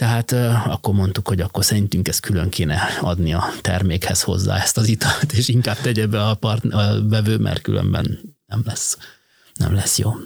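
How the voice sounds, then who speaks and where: At a moderate pace and very even loudness, a man uses a normal speaking voice, fairly low in pitch with ordinary pitch variation. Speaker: logistics company managing director. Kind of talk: interview.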